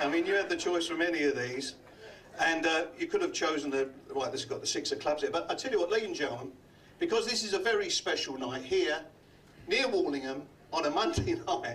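The speaker is a man with a Cockney accent, talking at a fairly quick pace. Light background noise can be heard. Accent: London Cockney. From London. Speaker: comedy magician. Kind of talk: stand-up. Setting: stage with audience. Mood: jovial, teasing. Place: stage.

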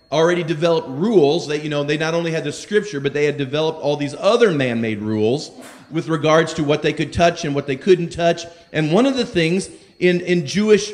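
Fairly quick pace and ordinary pitch variation in a man's voice. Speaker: preacher. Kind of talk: sermon. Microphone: handheld.

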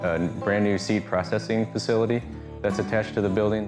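Clear music in the background behind a man talking fairly quickly, fairly low in pitch with ordinary variation. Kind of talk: interview answer. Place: open country. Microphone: lapel.

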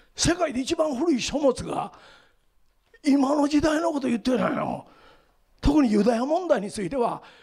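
Against a quiet background, a man speaks at a moderate pace in an extremely high pitch with lively intonation. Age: 70s. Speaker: lecturer on the Bible and world affairs; lecturer on the Bible. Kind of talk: lecture. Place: hall. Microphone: handheld.

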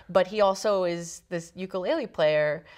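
The woman's pitch moves in an ordinary way, with a quiet background behind her. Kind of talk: interview answer. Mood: warm, enthusiastic. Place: studio. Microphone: lapel.

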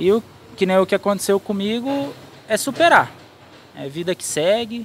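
Over light background noise, a man speaks with ordinary pitch variation in a dry sound with no echo. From Brazil, Campinas (São Paulo state); São Paulo state, Brazil. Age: 30s. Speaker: truck driver; interviewee. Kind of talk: interview testimony. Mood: reflective, determined. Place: street. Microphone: handheld.

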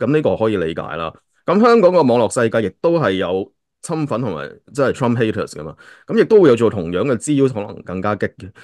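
At a fairly quick pace, a man's pitch swings very widely and his loudness shifts in big swings. The sound is dry with no echo against a quiet background. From Hong Kong. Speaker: podcast host. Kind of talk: casual chat. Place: home room. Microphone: video call.

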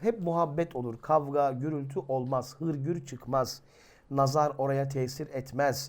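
The man's pitch is fairly high. He speaks at a very slow pace. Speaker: religious teacher and YouTuber. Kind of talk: religious talk to viewers. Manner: animated.

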